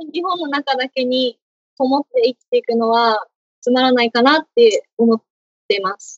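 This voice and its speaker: The pace is moderate. Pitch variation is ordinary. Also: woman. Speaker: university student. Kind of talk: interview.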